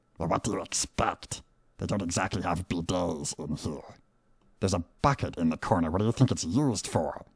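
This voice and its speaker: Putting on a character voice, a man talks at a fairly quick pace with a very deep, low pitch. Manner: snarky, sarcastic.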